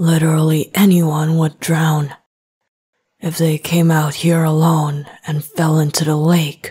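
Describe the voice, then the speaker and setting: A woman puts on a character voice with a very deep, low pitch. She talks at a fairly slow pace in a monotone, flat delivery. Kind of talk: ASMR roleplay. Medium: solo performance. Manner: teasing, confident.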